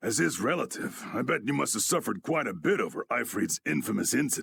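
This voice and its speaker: In a put-on character voice, a man with a raspy, medium-pitched sound talks at a very fast pace. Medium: video game. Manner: gruff, plain-spoken, folksy.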